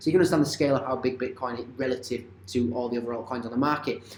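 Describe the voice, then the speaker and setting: Fairly even in intonation, a man rushes along at a very fast pace against noticeable background noise. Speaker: crypto and stock market commentator. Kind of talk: market analysis video.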